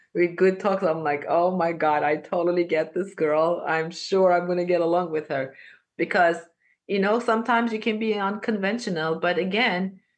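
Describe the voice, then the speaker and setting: This woman has a non-native accent and a medium pitch with ordinary variation. The background is quiet. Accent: foreign. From Armenia. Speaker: podcast guest. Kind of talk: casual interview conversation. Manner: animated.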